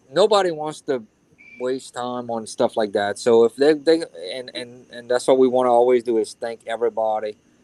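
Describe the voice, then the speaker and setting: Big swings in loudness mark this man's delivery, which has a Louisiana accent, medium pitch, ordinary pitch variation, a dark, mellow tone and a moderate pace, recorded dry and close with no echo. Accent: Louisiana Southern. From Louisiana (Cajun). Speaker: YouTuber joining a live stream. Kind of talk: casual chat.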